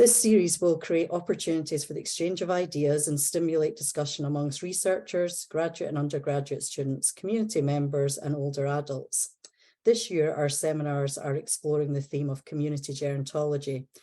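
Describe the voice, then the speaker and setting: With a Scottish accent, a woman speaks at a fairly quick pace with hardly any pauses, her very deep, low pitch and dark, mellow tone showing ordinary pitch variation over a quiet background. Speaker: seminar host. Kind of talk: formal introduction. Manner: formal.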